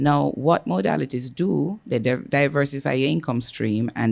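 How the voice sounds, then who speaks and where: Vocal fry runs through this man's voice, and his intonation is lively. He speaks at a moderate pace on a very clean recording with a silent background. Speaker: company executive. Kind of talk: business presentation. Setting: hotel meeting room with audience. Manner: loud.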